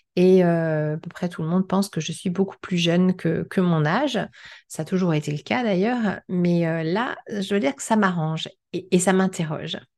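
An unremarkable speaking voice at a moderate pace, with ordinary pitch variation. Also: woman, fairly low pitch for a woman. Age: 50s. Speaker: podcast host. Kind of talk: solo podcast with read-out excerpts.

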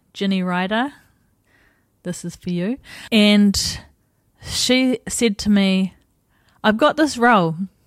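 Speaking very slowly with long, frequent pauses, a woman with a New Zealand accent has a medium pitch and ordinary pitch variation in a very clean recording with a silent background. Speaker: podcast host and life coach. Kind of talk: personal storytelling monologue. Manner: casual, conversational.

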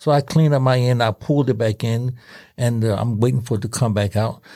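On a very clean recording with a silent background, a man speaks at a fairly quick pace in a medium pitch, somewhat breathy, with a dark, mellow tone. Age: 70s. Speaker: former subway conductor. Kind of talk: casual storytelling.

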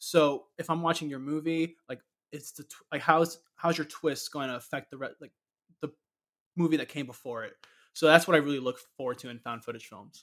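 In an ordinary speaking voice with an American accent, someone talks at a fairly quick pace with fairly even intonation and big swings in loudness, on a very clean recording with a silent background. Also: man, fairly high pitch for a man. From Florida, Orlando. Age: 20s. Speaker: horror fan. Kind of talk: casual chat.

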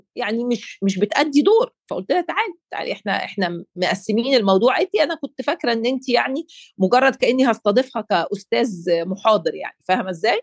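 Her pitch high and swinging very widely, a woman speaks with a dry, close sound and no echo. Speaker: life coach and podcast co-host. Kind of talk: casual chat.

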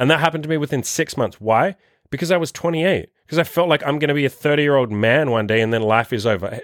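A man talks at a fast pace with a medium pitch. The recording is very clean, with a silent background. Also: ordinary pitch variation.

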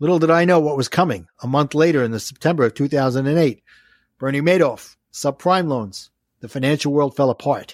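In a Brooklyn accent, a man speaks at a moderate pace with a fairly high pitch and ordinary pitch variation. The recording is very clean, with a silent background and a dry, close sound with no echo. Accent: Brooklyn New York. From New York City (Brooklyn). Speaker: life coach and author. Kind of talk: casual interview, coaching advice. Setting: podcast audio only.

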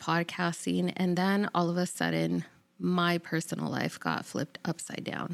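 A woman speaks at a moderate pace in a very clean recording with a silent background. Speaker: podcast host. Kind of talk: casual solo intro monologue.

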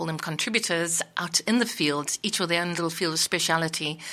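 A bright, sharp tone with vocal fry. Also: woman. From South Africa. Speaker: community radio presenter and editor. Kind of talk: interview. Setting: radio studio.

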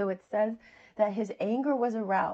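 An American accent in a woman's voice of medium pitch. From US Southeast. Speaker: podcast preacher. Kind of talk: sermon. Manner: animated.

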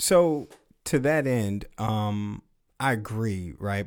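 The recording is very clean, with a silent background. A man with a normal speaking voice talks at a fairly low pitch with ordinary pitch variation. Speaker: podcast host. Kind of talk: casual chat.

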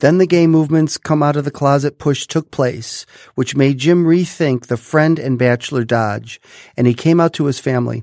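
A man talks in a normal speaking voice, fairly high in pitch, with ordinary pitch variation at a moderate pace. The recording is very clean with a silent background. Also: dry, close sound with no echo. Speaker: podcast host, doctor. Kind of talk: interview, friendly chat.

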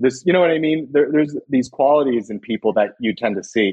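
This man speaks with an American accent. His intonation is lively. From US West Coast, California Central Valley (Los Banos). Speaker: public health insurance worker. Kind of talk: casual interview.

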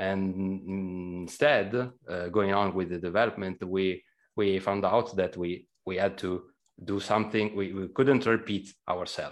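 In an Italian accent, a man speaks at a fairly slow pace with a very deep, low pitch and fairly even intonation against a quiet background. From Italy. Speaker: game programmer. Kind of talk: casual interview.

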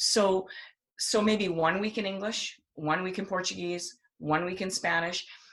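A woman's medium-pitched voice with vocal fry. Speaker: homeschooling speaker and writer. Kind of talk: casual podcast conversation.

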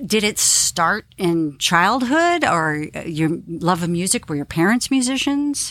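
A woman speaks with lively intonation at a moderate pace in a plain, everyday voice. The recording is very clean, with a silent background. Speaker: podcast host. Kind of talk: interview.

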